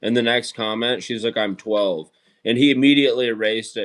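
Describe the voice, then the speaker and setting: A man speaks with an American accent in an ordinary speaking voice. His pitch is medium and his pace fairly quick. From Idaho, US. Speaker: streamer. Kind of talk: casual chat. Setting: live stream.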